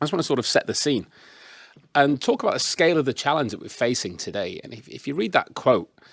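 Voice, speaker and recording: In a very clean recording with a silent background, a man with a Yorkshire accent and a fairly high pitch speaks at a very fast pace, his vocal fry cutting through very wide pitch swings and big swings in loudness. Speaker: business consultant, panelist. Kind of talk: presentation with slides. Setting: in-person event with audience, microphone.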